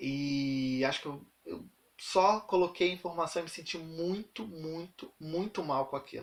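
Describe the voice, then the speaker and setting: High pitch and ordinary pitch variation in a man's voice. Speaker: university student and teacher. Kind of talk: casual vlog. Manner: fast.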